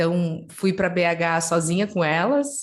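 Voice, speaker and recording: A woman speaks in a southern Brazilian accent. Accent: southern Brazilian, gaúcho-like. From southern Brazil, Curitiba. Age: 30s. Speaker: head of innovation at a football club. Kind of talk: webinar interview.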